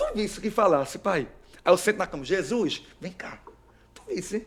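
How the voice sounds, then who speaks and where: A man speaks in an animated tone against noticeable background noise. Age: 30s. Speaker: evangelical preacher. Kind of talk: testimony.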